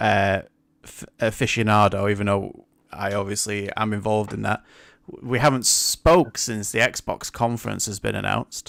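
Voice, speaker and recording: In a very clean recording with a silent background, a man with a fairly low pitch and vocal fry talks at a moderate pace, showing ordinary pitch variation and big swings in loudness. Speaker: podcast host. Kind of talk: casual chat.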